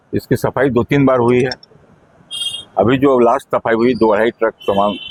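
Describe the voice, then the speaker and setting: Noticeable background noise sits behind a man talking at a moderate pace with medium pitch. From Durg, Chhattisgarh. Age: 70s. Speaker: elderly local resident. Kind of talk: news interview.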